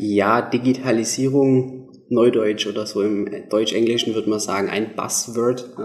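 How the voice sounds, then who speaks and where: Against noticeable background noise, the speaker talks at a fairly slow pace with fairly even intonation. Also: man. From southern Germany, Swabia. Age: 20s. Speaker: app developer, business owner. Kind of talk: radio interview. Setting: radio studio.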